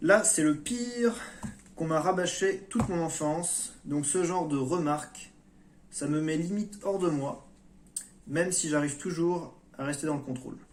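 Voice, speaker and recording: A high-pitched male voice with ordinary pitch variation, a fairly slow pace, long, frequent pauses, and audible room echo. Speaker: YouTuber on personal development. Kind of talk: monologue vlog. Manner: hesitant.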